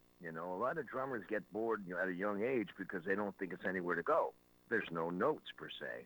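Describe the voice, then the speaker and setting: A man speaks with a bright, sharp tone. His pitch is fairly low, with ordinary variation. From Canada. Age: 70s. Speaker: rock drummer. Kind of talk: interview. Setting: radio show interview.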